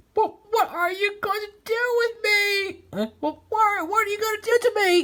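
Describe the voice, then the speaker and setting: A put-on character voice that sounds female, squeaky and extremely high in pitch, running on with hardly any pauses. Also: moderate pace. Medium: read story.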